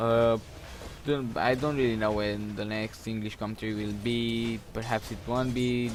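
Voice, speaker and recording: Over noticeable background noise, a man in a Romanian accent talks at a moderate pace with a medium pitch and monotone, flat intonation. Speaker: gaming commentator. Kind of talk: gameplay commentary, casual talk to camera. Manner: hesitant, halting, filler-filled.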